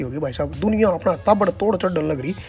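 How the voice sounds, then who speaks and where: A man talks with a Haryana accent and lively intonation. He keeps a moderate pace with music in the background. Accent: Haryanvi. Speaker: vlogger. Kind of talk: casual comic travel vlog narration. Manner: humorous, chatty.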